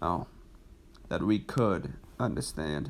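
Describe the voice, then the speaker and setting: In a very clean recording with a silent background, a man talks at a very slow pace with a very deep, low pitch and vocal fry. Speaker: amateur horror writer reading stories aloud. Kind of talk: reading aloud. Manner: halting, stumbles over words.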